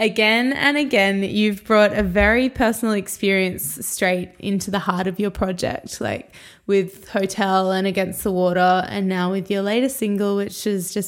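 A woman with an Australian accent talks at a medium pitch and moderate pace. Her intonation is fairly even, with hardly any pauses. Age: 20s. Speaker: podcast host and musician. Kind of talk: interview conversation.

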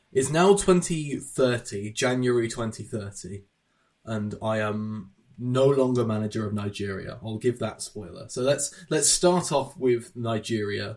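With an unremarkable speaking voice, a man talks at medium pitch and a fairly slow pace, his intonation lively. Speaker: podcast host. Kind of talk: casual chat.

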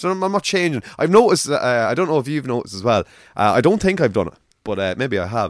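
A man with an Irish accent speaks at a very fast pace, his medium pitch swinging very widely, on a very clean recording with a silent background. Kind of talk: casual chat.

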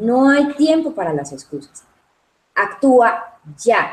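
A woman's voice with very wide pitch swings. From Colombia, Medellín (paisa), raised in Cali. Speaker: results coach. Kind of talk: interview.

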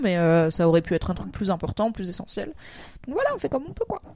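Her tone dark and mellow, a woman with a medium pitch talks at a very fast pace. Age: 30s. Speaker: streamer and podcast co-host. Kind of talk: casual chat.

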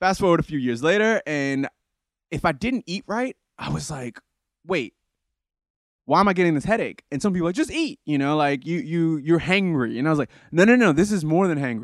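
Recorded very cleanly against a silent background, with a dry, close sound and no echo, a man has an ordinary speaking voice, a fairly high pitch, and lively intonation. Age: 30s. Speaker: fitness enthusiast sharing his health story. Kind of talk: casual interview chat.

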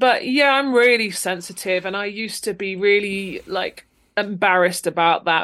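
A woman with a southern English accent speaks at a medium pitch with ordinary pitch variation against a quiet background. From England, Luton, Bedfordshire. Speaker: actor and improviser. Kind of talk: casual chat.

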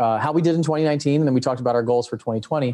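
A man speaks at a medium pitch with a dark, mellow tone and fairly even intonation.

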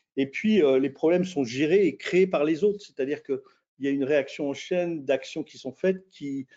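This man's voice is fairly high-pitched, with ordinary pitch variation. He talks at a moderate speed. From France. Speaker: intercultural management consultant. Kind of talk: webinar interview. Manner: halting, many repetitions and fillers.

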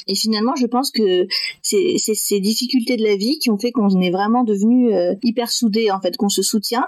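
A woman talks at a moderate pace with a fairly high pitch, ordinary pitch variation and very even loudness. Noticeable background noise runs under her voice. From France, Metz (north-east). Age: 20s. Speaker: adoptee sharing her story. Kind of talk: testimony.

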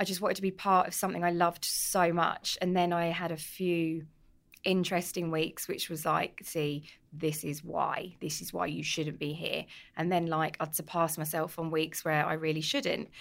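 With a London accent, a woman speaks in a fairly low pitch and a monotone, flat intonation at a moderate pace, on a very clean recording with a silent background. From North London (Tottenham, Edmonton). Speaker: cookbook author and pub owner. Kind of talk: casual chat. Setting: pub.

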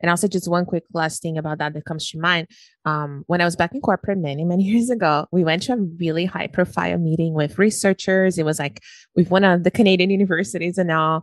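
Very fast speech from a woman with a Brazilian accent, fairly low in pitch with ordinary pitch variation, dry and close with no echo over a quiet background. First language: Portuguese. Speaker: podcast host, weight loss coach. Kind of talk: interview conversation. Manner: talkative.

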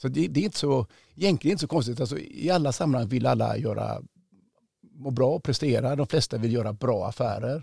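Very fast and lively in intonation, a man speaks at medium pitch with vocal fry and a dark, mellow tone on a very clean recording with a silent background. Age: 50s. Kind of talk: interview. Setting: studio.

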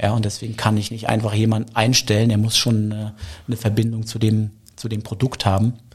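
A man speaks at a fairly quick pace in a monotone, flat intonation, his voice somewhat breathy. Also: medium pitch for a man. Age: 40s. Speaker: craft beer bar owner. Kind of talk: interview.

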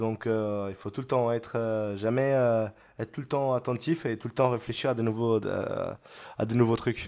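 A man talks at a fairly slow pace with a medium pitch. His intonation stays fairly even. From Italy (near Verona). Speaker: restaurant chef and TV cooking contestant. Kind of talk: casual interview chat. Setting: remote recording, distance call during lockdown. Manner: spontaneous, talkative, jokey.

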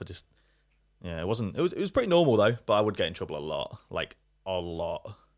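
A man with an East Midlands accent speaks at a very fast pace. The recording is very clean, with a silent background. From Leicester, England. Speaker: YouTuber. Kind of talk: casual chat.

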